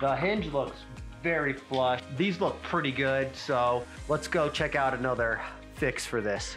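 Music plays in the background. The pace is fairly slow, with ordinary pitch variation. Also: man, medium pitch for a man. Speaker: home repair handyman. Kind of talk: DIY repair tutorial.

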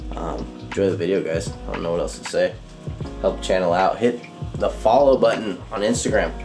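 A man talks at a moderate pace over clear music in the background. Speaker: fishing vlogger. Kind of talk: casual vlog chat. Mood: subdued, serious about fires. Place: kitchen. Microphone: phone near.

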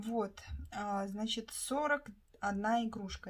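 A woman's fairly high voice comes out somewhat breathy. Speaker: craft vlogger, toy knitter. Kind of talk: casual vlog monologue.

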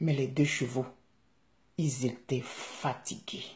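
A woman with an Ivorian accent speaks very slowly in a very deep, low voice, her tone dark and mellow with vocal fry. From Ivory Coast. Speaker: vlogger telling a fable to his country. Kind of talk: bedtime-style storytelling, fable with a moral, addressed to the country. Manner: animated, vivid, conversational storyteller; earnest, passionate, hortatory at the end. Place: home room. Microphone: phone near.

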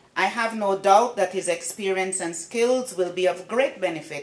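A woman speaks at a moderate pace, with audible room echo around her voice. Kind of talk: formal speech. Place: hall. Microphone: podium.

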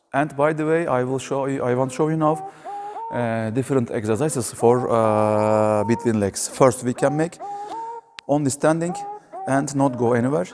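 A man is speaking at a moderate pace. There is noticeable background noise. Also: ordinary pitch variation. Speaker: basketball coach. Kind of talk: tutorial. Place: hall.

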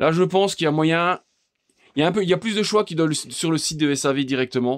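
The recording is very clean, the background silent. A man's speech comes at a fairly quick pace. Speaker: DIY tool video maker. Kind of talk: screen tour tutorial. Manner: fast; halting.

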